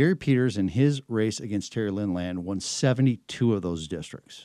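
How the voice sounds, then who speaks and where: Lively intonation and a dark, mellow tone come with an American accent. The recording is very clean, with a silent background and a dry, close sound with no echo. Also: man. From Michigan. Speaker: political strategist. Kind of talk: interview. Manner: halting.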